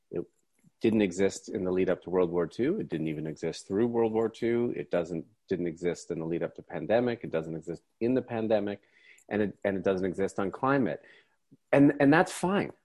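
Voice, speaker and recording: A man's a plain, everyday voice, fairly low in pitch, with lively intonation at a fairly quick pace, against a quiet background. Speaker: author and economist. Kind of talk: interview. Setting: video call.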